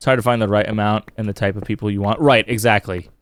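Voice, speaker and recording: A man's fairly quick speech over music in the background. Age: 30s. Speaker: video game streamer. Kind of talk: casual live-stream chat. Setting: live stream.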